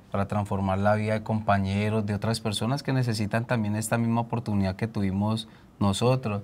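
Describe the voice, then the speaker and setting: A man's medium-pitched voice stays monotone, with flat intonation. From Colombia, Cali. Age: 30s. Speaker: community leader, former gang member; guest. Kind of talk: TV interview, personal testimony. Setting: TV studio. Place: studio. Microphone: lapel.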